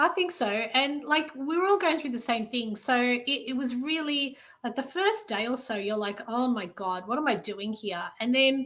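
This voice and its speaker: A woman's high, bright, sharp voice with lively intonation and hardly any pauses, in a very clean recording with a silent background. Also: moderate pace. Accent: Australian. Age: 40s. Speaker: army reserve recruit. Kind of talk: casual interview chat.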